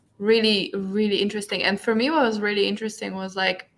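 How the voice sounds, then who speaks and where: Here a woman speaks with a non-native accent. Her pitch is medium. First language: not English. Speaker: book club co-host. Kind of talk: casual book discussion.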